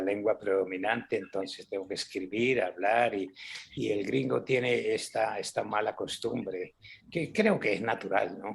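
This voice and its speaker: This man has a fairly low pitch and vocal fry. He speaks at a fairly slow pace. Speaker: cultural center director and author. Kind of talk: interview. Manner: repetitive, self-correcting.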